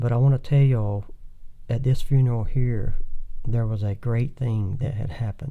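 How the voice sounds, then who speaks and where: Soft-spoken and dark, mellow in tone, a man with a Southern US accent talks at a medium pitch and moderate pace with fairly even intonation. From Thomasville, Georgia. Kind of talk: interview answer.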